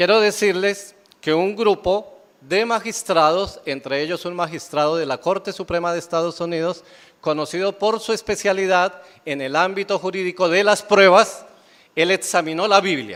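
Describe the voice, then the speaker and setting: At a moderate pace, a man speaks with a high pitch. His intonation stays fairly even. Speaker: pastor. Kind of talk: sermon.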